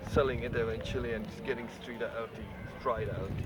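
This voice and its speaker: A man with an Eastern European accent at a moderate pace, over noticeable background noise. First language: not English. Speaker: cyclist. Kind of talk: casual talk to camera. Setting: outdoors.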